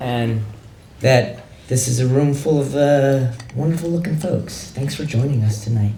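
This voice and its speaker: Noticeable background noise behind a man of medium pitch, at a moderate pace with ordinary pitch variation. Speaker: poet. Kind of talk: casual talk to audience.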